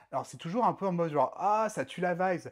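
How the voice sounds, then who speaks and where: A man talks at a moderate pace. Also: very clean recording, silent background. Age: 30s. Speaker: drag queen performer. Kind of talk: casual interview chat. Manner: animated.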